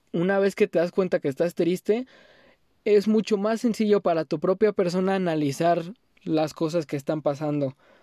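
A man with a northern Mexican accent and a high pitch for a man, at a moderate pace, his dark, mellow tone dry and close with no echo, ordinary pitch variation, on a very clean recording with a silent background. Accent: sounds like a northern Mexican rancher. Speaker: podcast host. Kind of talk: casual monologue. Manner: pausing often.

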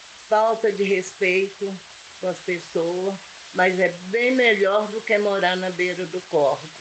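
A woman speaks at a very slow pace with medium pitch and fairly even intonation, over noticeable background noise. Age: 70s. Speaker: local resident. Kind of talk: testimony.

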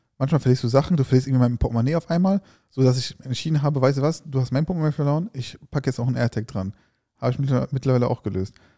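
A man with a dark, mellow tone, somewhat breathy, at a very fast pace with ordinary pitch variation, in a dry, close sound with no echo. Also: medium pitch for a man. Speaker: food YouTuber and podcast co-host. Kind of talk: casual chat.

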